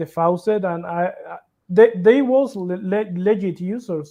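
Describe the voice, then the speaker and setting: Fairly slow speech in a non-native accent. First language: not English. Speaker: crypto project developer. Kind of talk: interview. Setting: livestream. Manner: halting.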